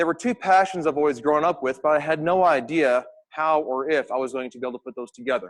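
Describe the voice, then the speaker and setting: Speaking very fast with an American accent, a man uses a fairly high pitch and ordinary pitch variation. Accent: American, noticeable to Australian audience. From US Midwest, Missouri. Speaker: astronomy researcher, academic. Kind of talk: public lecture. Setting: stage with audience.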